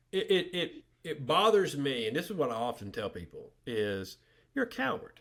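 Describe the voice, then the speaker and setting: Vocal fry and very wide pitch swings mark this speech with a Southern US accent. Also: man. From US South, north Alabama. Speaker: journalist. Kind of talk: podcast interview. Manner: halting, many fillers and repetitions.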